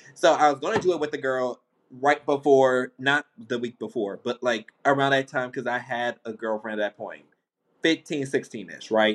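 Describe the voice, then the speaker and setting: A man with an unremarkable speaking voice, medium pitch and ordinary pitch variation, at a moderate pace, in a dry, close sound with no echo. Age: 20s. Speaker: podcast host. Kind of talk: casual chat.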